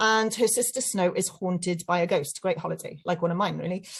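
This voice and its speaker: A woman with a South Wales accent speaks in a somewhat breathy voice. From South Wales (Llantrisant, Rhondda Cynon Taf). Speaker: children's author. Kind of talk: talk to children. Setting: webinar.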